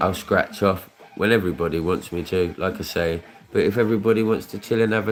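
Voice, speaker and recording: Speaking at a fairly quick pace, a man with a British accent uses ordinary pitch variation. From Luton, England. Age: 30s. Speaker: scratchcard streamer. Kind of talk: casual chat. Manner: rambling repetitive.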